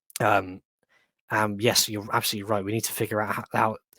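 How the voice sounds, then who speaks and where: A man with a West Midlands accent speaks at a fairly low pitch in a monotone, flat intonation. The recording is very clean, with a silent background. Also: long, frequent pauses, dry, close sound with no echo. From West Midlands, England. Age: 20s. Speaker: history enthusiast. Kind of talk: casual chat.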